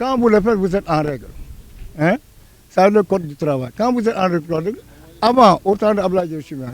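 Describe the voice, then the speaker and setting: A high-pitched man at a moderate pace, lively intonation, big swings in loudness and long, frequent pauses. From Senegal. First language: Wolof (speaking French). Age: 60s. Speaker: senior citizen interviewee. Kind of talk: street interview. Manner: halting, repeats words.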